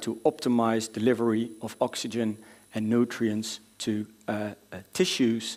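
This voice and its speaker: A man with a Dutch accent talks at medium pitch and a fairly slow pace on a very clean recording with a silent background. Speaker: doctor presenting at a medical conference. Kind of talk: conference lecture. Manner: hesitant, many filler sounds.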